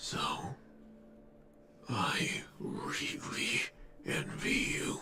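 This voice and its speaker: A man growls in a put-on character voice. Clear music plays in the background. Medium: game stream. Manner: soft, slow, solemn.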